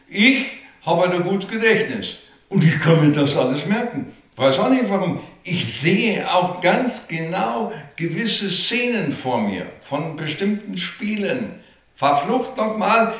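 There is noticeable background noise and audible room echo around a man with a high pitch. He speaks very slowly with lively intonation. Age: 70s. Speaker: retired football radio reporter. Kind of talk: interview. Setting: his living room.

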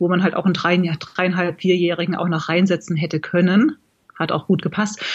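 Here is a woman with an unremarkable speaking voice. She talks at a fairly quick pace and a medium pitch. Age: 40s. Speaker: blogger and amateur marathon runner. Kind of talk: casual interview.

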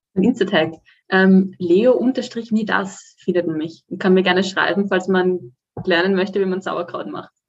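A plain, everyday voice belongs to this woman, who speaks at a fairly slow pace. Her medium pitch has ordinary pitch variation. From Austria, Vienna. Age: 20s. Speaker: student and fitness client. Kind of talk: podcast interview.

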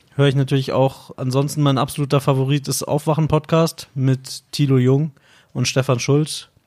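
Speaking at a moderate pace, a man delivers his words in a flat monotone at a fairly high pitch. The recording is very clean, the background silent. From Bavaria, suburb of Munich. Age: 30s. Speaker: podcast host. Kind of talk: casual chat.

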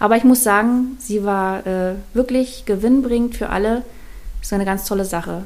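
Fairly even intonation and a moderate pace from a woman pitched fairly high. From Mecklenburg-Vorpommern, northeastern Germany. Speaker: artist. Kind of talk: casual interview. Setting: in-person studio recording.

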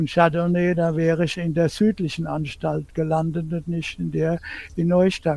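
His pitch sits high for a man, yet the tone is dark and mellow. He speaks in a monotone with flat intonation. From Palatinate, Germany (Bad Dürkheim). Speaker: wine historian. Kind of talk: interview.

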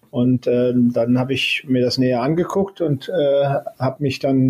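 Here a man talks at a medium pitch. His voice is somewhat breathy. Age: 60s. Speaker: space agency head, former university president. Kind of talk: interview. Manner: hesitant, many filler sounds.

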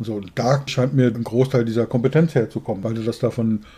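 A man's voice has a dark, mellow tone and a medium pitch, somewhat breathy. He keeps a moderate pace with ordinary pitch variation. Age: 60s. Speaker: podcast co-host, business coach. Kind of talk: interview.

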